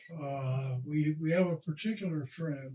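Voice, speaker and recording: A man with a fairly high pitch and a dark, mellow, somewhat breathy tone speaks at a very slow pace. His pitch variation is ordinary. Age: 80s+. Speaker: retired rocket scientist and racing driver. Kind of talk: interview answer.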